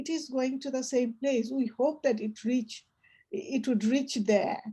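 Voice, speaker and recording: Woman's high-pitched voice with a dark, mellow tone at a fairly slow pace. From Bangladesh. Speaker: poetry reading guide and storyteller. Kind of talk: casual discussion. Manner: halting.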